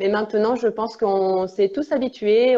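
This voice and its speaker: A woman speaks with a slight Italian accent at a fairly high pitch. Her pace is moderate and her intonation fairly even. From Italy. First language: Italian (speaking French). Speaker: international relations officer and English teacher. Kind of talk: live interview. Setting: Instagram live video. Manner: hesitant, many fillers.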